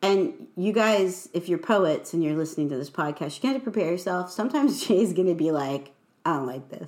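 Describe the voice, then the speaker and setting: With a US Midwestern accent, a woman speaks in a fairly low pitch with lively intonation. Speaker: podcast host and poet. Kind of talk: casual chat.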